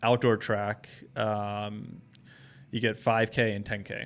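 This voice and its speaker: A man with an American accent speaks at a very slow pace, his fairly low pitch held in a monotone, flat intonation. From New Jersey. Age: 30s. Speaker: running shoe store owner. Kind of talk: casual interview.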